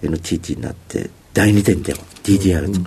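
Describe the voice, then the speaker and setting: Very deep, low male speech over noticeable background noise. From Osaka, Japan (Nishiyodogawa). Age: 50s. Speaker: company CEO. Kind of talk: interview. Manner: formal; filler-heavy, hesitant.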